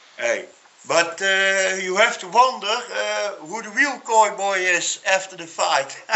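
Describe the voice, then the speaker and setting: A man speaks very slowly at a high pitch, in a Dutch accent. His pitch varies in an ordinary way while his loudness swings widely. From Netherlands. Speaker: MMA pundit. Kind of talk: casual discussion. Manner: halting.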